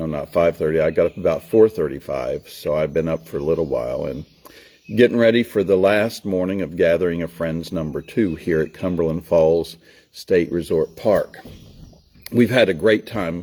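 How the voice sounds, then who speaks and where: A man with a very deep, low pitch, a warm tone and a Southern US accent, at a moderate pace. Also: ordinary pitch variation. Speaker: storyteller. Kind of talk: casual talk to camera. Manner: folksy, warm.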